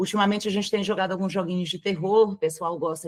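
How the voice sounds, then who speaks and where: This is a woman speaking. She has a slight mineiro accent. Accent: mild Minas Gerais (mineiro). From Brazil, Minas Gerais (Belo Horizonte). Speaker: streamer. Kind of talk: interview.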